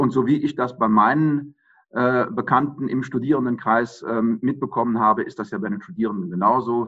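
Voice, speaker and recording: Here a man uses an ordinary speaking voice at a medium pitch. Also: ordinary pitch variation, moderate pace. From Germany, Aachen. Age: 50s. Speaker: mayoral candidate, lawyer. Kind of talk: interview. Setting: video call.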